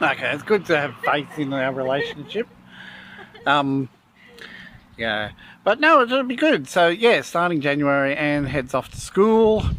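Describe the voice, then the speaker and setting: This man talks at a fairly slow pace with an Australian accent, his fairly high pitch making very wide swings. Long pauses come often. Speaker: vlogger. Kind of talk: casual chat. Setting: restaurant.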